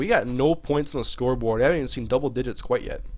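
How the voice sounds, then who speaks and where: A man speaks at a very fast pace. His voice sits fairly high. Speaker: video game streamer. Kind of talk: live gameplay stream commentary. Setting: live stream. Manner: casual, chatty; fast, sometimes stumbling.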